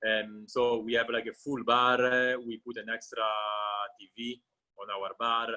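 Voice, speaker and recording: With an Italian accent, a man talks at a fairly slow pace in a monotone, flat intonation. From Italy, Genoa (Liguria). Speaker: restaurant owner. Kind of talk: casual interview chat. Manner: halting, many fillers.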